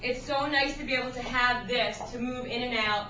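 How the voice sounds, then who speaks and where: A woman speaks at a high pitch in a flat monotone. Audible room echo and noticeable background noise come through. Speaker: sixth grade writing teacher. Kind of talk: classroom technology demonstration. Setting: classroom.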